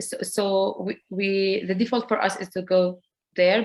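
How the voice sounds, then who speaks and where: A woman with an Arabic accent is heard on a very clean recording against a silent background. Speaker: community program director and school parent. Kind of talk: panel presentation. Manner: halting.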